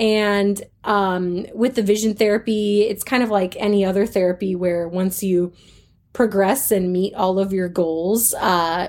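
A woman has an ordinary speaking voice at medium pitch, with an American accent. She talks at a fairly slow pace in a very clean recording with a silent background. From North Carolina, US South. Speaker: music therapist. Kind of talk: interview.

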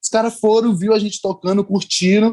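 In a Bahian accent, a man rattles along at a very fast pace in a high pitch. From Bahia, Brazil. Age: young. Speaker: actor. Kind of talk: interview.

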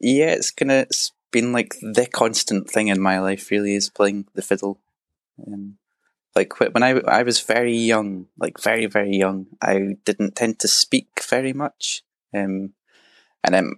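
A man with a west of Scotland accent speaks at a fairly slow pace and in a fairly even intonation, in a dry, close sound with no echo. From Scotland, Argyll near Loch Lomond. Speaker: traditional fiddle player. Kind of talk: interview.

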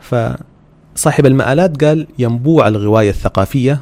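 A man with a Sudanese accent and lively intonation, amid noticeable background noise. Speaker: podcast host. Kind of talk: religious talk.

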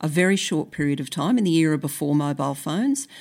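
This woman has a very deep, low pitch, ordinary pitch variation, and an Australian accent. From Brisbane, Australia. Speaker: author and sociologist. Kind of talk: interview; reading aloud.

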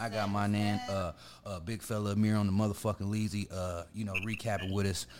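A man's fairly low-pitched voice at a very fast pace. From urban US community. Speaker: podcast host. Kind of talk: casual chat. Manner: animated.

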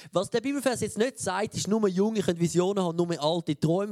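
The recording is dry and close, without any echo. The speaker is a man. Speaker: preacher. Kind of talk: sermon. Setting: church.

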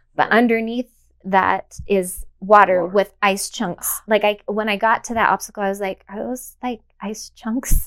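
Against a silent background on a very clean recording, a woman speaks at a medium pitch. Her intonation is monotone and flat, yet her loudness swings widely. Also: moderate pace. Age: 40s. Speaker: elite obstacle racer and personal trainer. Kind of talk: interview.

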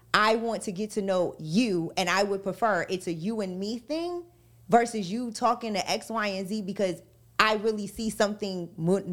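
On a very clean recording with a silent background, a woman with a fairly high pitch sounds energetic, speaking at a moderate pace with ordinary pitch variation. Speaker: radio personality, guest co-host. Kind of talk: casual chat.

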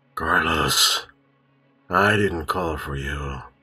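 A man puts on a character voice with very deep, low pitch as faint music plays in the background.

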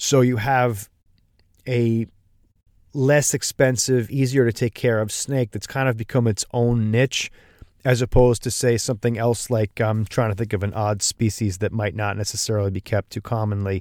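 A man's plain, everyday voice at medium pitch and moderate pace, dry and close with no echo, in a very clean recording with a silent background. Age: 40s. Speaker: podcast host. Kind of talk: casual interview.

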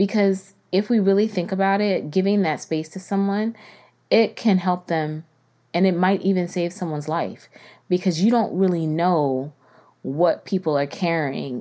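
On a very clean recording with a silent background, a woman speaks in a fairly low voice at a moderate pace with ordinary pitch variation. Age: 40s. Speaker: podcast host. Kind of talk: casual monologue.

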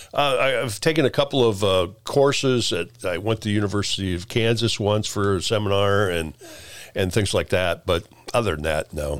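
In a Midwestern US accent, a man talks at a moderate pace with a fairly low pitch and ordinary pitch variation. The recording is very clean, with a silent background. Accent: US Midwest. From central Illinois (Peoria). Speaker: retired TV director. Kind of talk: casual interview. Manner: halting.

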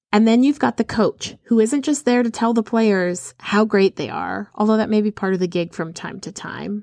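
This woman has a medium-pitched, animated voice, recorded with a dry, close sound and no echo. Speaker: podcast host and country singer-songwriter. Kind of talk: solo motivational podcast monologue. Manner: fast.

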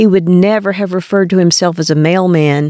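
Speaking at a moderate pace in a normal speaking voice, a woman with an American accent has a medium pitch, and the sound is dry and close with no echo. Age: 60s. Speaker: podcast host. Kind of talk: scripted narration.

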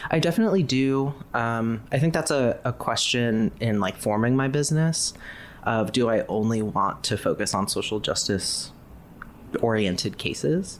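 A man with an unremarkable speaking voice and an American accent, pitched in the middle range. His intonation is lively and his loudness stays very even. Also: moderate pace. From US Midwest, Ohio. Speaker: graphic designer. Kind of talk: casual interview.

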